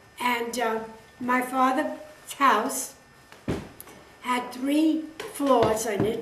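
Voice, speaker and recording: A high-pitched woman at a very slow pace, with long, frequent pauses and fairly even intonation, amid audible room echo and noticeable background noise. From New York City (Brooklyn). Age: 90s. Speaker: interviewee recounting family history. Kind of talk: oral history interview. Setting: home interview filmed by her son.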